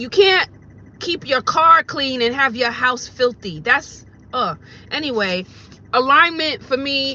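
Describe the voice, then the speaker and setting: Bright, sharp, animated speech from a woman at a fairly slow pace. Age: 40s. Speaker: vlogger and rideshare driver. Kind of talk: casual vlog monologue.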